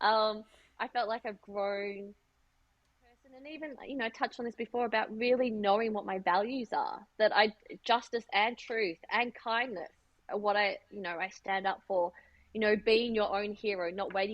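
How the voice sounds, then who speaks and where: Moderate pace from a woman with an Australian accent, her fairly high pitch showing ordinary variation and big swings in loudness. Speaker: fashion designer and business owner. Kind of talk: interview.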